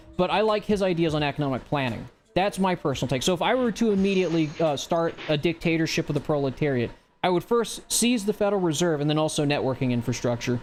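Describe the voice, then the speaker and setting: A man with an American accent speaks at a very fast pace, his pitch fairly high and his loudness very even. His intonation is lively and his tone animated. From US South. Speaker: livestream host. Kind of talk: casual political commentary livestream.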